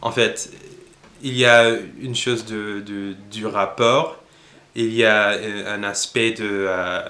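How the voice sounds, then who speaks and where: The voice has an English accent. Its tone is bright and sharp. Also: man. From United States. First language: English (speaking French). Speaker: language learning youtuber. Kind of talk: casual tutorial monologue. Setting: at home. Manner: halting, many hesitations.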